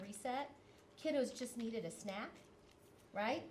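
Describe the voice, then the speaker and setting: A woman talks at a fairly quick pace with lively intonation, her voice carrying audible room echo and noticeable background noise. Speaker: school principal. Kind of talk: presentation to school board. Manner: fast.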